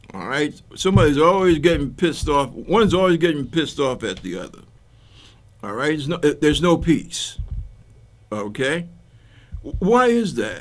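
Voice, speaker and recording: A man with an American accent, fairly high pitch and vocal fry, with very wide pitch swings, big swings in loudness, and long, frequent pauses. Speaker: talk show host. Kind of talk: political commentary monologue. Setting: TV studio taping. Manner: casual, conversational; slow, halting.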